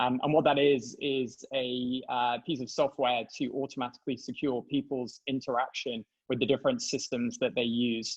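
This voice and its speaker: A man with a British accent talks at a medium pitch with hardly any pauses. His intonation is monotone and flat. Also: moderate pace. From England. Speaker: tech company CEO and co-founder. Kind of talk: interview.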